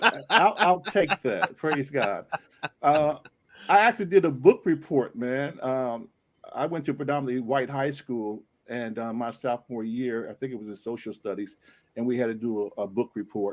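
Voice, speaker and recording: This man has a plain, everyday voice, speaking at a moderate pace and medium pitch with lively intonation and big swings in loudness. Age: 60s. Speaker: pastor and author. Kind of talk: panel discussion.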